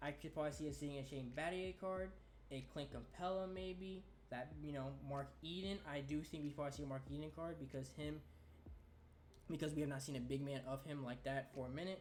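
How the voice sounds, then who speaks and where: In a room with audible echo, a man with a fairly high voice talks at a fairly quick pace with ordinary pitch variation. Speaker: gaming youtuber. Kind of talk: casual video commentary. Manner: stuttering today.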